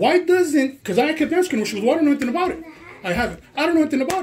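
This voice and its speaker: A loud, animated voice comes through over noticeable background noise. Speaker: complainant recording a confrontation. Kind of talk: heated conversation.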